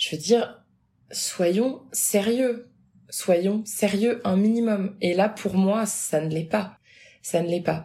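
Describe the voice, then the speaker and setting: This woman's voice has a dark, mellow tone, somewhat breathy, at medium pitch. She speaks at a very slow pace with ordinary pitch variation. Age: 20s. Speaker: abuse survivor sharing her story. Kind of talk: personal testimony.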